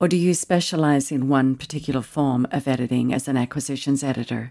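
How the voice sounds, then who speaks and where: A woman with a slight Australian accent speaks at a moderate pace in a very deep, low voice, her tone dark and mellow and her intonation fairly even, on a very clean recording with a silent background. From Australia, Tasmania. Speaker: podcast host. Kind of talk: interview.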